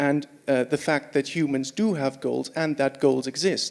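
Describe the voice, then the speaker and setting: Fairly high-pitched man with a Swiss accent, ordinary pitch variation and a fairly slow pace. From Switzerland. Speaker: audience member asking a question. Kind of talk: audience question.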